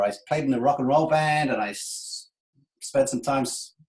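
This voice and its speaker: The speaker has an English accent and keeps a moderate pace. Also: man. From England. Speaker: sports sponsorship consultant. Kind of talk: webinar presentation. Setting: online webinar with screen share. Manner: conversational, humorous.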